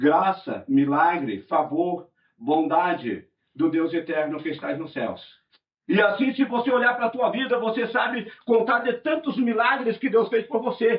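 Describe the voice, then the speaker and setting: This man has a high pitch and very wide pitch swings. He speaks at a fairly slow pace. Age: 60s. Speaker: pastor. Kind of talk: sermon.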